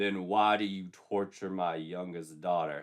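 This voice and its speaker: Using a put-on character voice, a man speaks at a fairly slow pace with a very deep, low pitch. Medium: read story.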